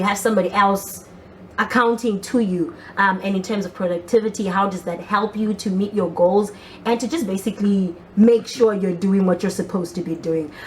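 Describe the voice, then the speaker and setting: Over noticeable background noise, a woman with a medium-pitched voice talks in an animated tone at a fairly quick pace. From Zimbabwe. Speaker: talk show host. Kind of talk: casual interview chat. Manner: fast.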